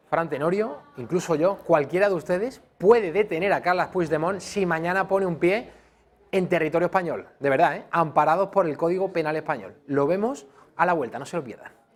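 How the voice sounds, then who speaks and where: Speaking at a fairly quick pace, a man has a high pitch with ordinary variation. He talks in an Andalusian accent. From Andalusia, Spain. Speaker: TV news presenter. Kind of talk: news presenting. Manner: formal.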